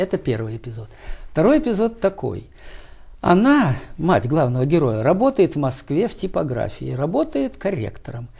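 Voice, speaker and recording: A man's fairly high, dark and mellow voice with vocal fry, very wide pitch swings, and long, frequent pauses. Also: moderate pace. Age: 70s. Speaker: writer, poet and professor. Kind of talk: interview answers. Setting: TV studio.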